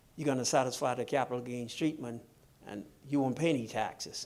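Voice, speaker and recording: A man with a Bahamian accent, medium-pitched, at a moderate pace with ordinary pitch variation, on a very clean recording with a silent background. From Bahamas. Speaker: financial seminar speaker. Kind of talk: seminar Q&A answer. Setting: live-streamed seminar with audience. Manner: engaging, uses rhetorical questions to audience.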